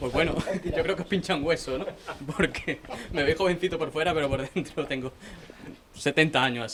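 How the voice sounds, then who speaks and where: Fairly quick speech broken by long, frequent pauses, with ordinary pitch variation and noticeable background noise. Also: man, fairly high pitch for a man. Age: young. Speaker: newspaper correspondent. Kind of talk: panel discussion.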